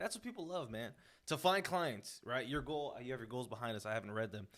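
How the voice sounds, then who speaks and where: A man with a plain, everyday voice talks at a fairly quick pace with medium pitch and lively intonation. The recording is very clean, with a silent background. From Houston, Texas (Sharpstown); Mexican-American. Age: 20s. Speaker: real estate investor. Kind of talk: casual interview chat. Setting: in host's house.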